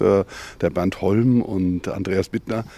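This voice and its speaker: Dark, mellow male speech showing ordinary pitch variation. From Mainz-Gonsenheim. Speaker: publisher and agency owner. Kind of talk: casual interview.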